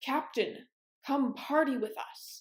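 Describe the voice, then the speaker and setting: A woman performs a put-on character voice, loud and high in pitch. Her intonation is lively. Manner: loud, calling out.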